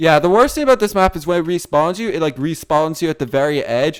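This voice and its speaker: A man speaks in an animated tone. His voice sounds whiny. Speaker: gaming YouTuber. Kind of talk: gameplay commentary. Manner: whiny-sounding.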